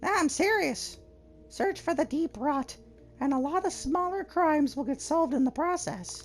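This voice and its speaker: Over music in the background, a put-on character voice speaks at high pitch and a moderate pace. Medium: game stream. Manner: argumentative, opinionated.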